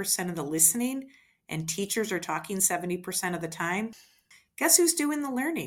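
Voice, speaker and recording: A medium-pitched woman with an American accent, very wide pitch swings, on a very clean recording with a silent background. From US Midwest. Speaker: education administrator and former teacher. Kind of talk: educational talk.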